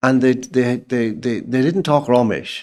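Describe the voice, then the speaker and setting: This man speaks at a moderate pace with an Irish accent and a medium pitch. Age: 70s. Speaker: writer and journalist. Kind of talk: casual chat. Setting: in-person interview.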